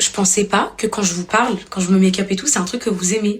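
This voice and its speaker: A woman speaks very fast at a medium pitch with fairly even intonation, and noticeable background noise is present. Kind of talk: casual, chatty.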